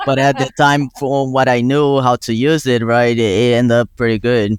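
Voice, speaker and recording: A man with a Brazilian Portuguese accent, medium in pitch, fairly even in intonation and very even in loudness, in a dry, close sound with no echo. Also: moderate pace. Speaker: student. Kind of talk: casual interview. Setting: podcast. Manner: halting.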